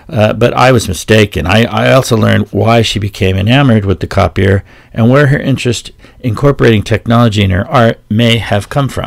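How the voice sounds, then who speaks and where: A man speaks at a fairly quick pace with a fairly low pitch. Noticeable background noise runs under the recording. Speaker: podcast host. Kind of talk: podcast narration.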